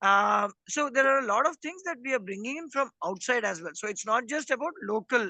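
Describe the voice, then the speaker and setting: Against a quiet background, the speaker talks in an Indian accent. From India, not Hindi-speaking region. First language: Indian language other than Hindi. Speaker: rural development worker. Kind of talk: interview. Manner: measured, with many fillers.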